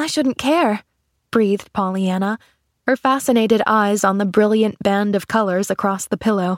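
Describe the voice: A quiet background under plain reading aloud with ordinary pitch variation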